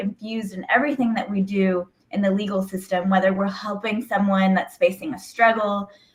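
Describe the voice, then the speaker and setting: Somewhat breathy and fairly high, a woman's voice moves at a moderate pace. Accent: American. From Houston, Texas (born Mexico City). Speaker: attorney. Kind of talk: casual interview.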